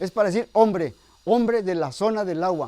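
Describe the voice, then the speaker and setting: A man with a Mexican accent speaks at a high pitch with ordinary pitch variation. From Mexico, Huasteca region of Hidalgo. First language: Nahuatl (speaking Spanish). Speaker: retired salesman and Nahuatl teacher. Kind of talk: interview.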